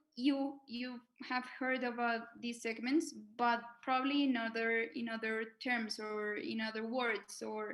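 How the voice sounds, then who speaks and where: Speaking at a fairly slow pace, a woman with a Spanish accent uses a high-pitched voice. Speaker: fintech association manager. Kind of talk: webinar presentation. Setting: video call. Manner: halting, many fillers and repetitions.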